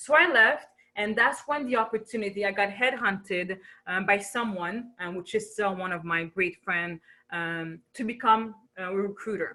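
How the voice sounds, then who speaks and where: The tone is bright and sharp, and the pitch varies in an ordinary way. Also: woman, medium pitch for a woman, moderate pace. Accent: French. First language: French. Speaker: business coach. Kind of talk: webinar presentation. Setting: video webinar. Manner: animated.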